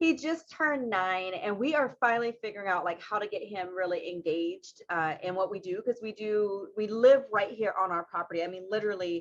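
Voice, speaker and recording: A woman talks at a fairly quick pace with hardly any pauses. Her medium-pitched voice has lively intonation. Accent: Southern US. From US South, South Carolina (Marion). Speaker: winemaker. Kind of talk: casual chat.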